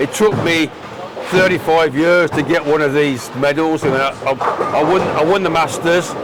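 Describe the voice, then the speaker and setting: Against noticeable background noise, a man speaks at a moderate pace with a fairly high pitch. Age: 70s. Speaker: veteran tenpin bowler. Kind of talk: casual interview. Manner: halting, repeats words.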